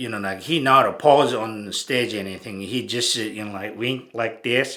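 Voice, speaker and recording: A bright, sharp tone with a strong Japanese accent. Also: man. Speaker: bodybuilding photographer and channel host. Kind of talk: casual monologue. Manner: halting, many fillers.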